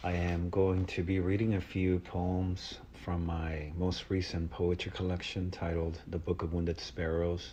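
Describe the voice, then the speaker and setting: At a moderate pace, a man with a very deep, low pitch and a dark, mellow tone speaks somewhat breathy in a monotone, flat intonation. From Mexico, moved to South Texas at nine. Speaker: poet. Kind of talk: reading introduction. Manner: halting, many uh fillers.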